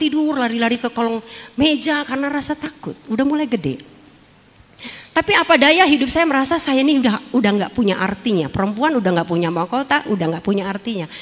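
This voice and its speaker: A woman speaks at a very fast pace in a high pitch. Noticeable background noise is present. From Jakarta, Tanjung Priok. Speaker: former dangdut singer and actress giving testimony. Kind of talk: testimony.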